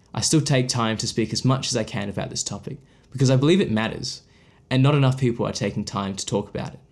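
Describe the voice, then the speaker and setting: With an Australian accent, a man talks at a very fast pace and medium pitch on a very clean recording with a silent background. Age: 20s. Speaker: podcast host and photographer. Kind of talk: scripted narration. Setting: at his desk.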